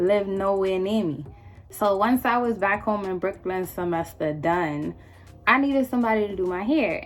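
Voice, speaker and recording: Music plays in the background as a woman speaks at a moderate pace. Her tone is animated and her intonation lively. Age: 20s. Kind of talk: storytime talk to camera. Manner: casual, animated, slangy.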